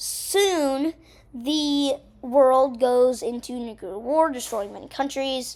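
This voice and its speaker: A high-pitched woman at a very slow pace, with ordinary pitch variation and big swings in loudness. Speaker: gaming video narrator. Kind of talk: recap narration; casual chat. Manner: casual, filler-heavy.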